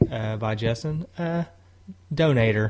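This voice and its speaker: A medium-pitched man with a Tennessee accent, over noticeable background noise. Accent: Southern US, Tennessee. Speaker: podcast co-host. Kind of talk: casual chat.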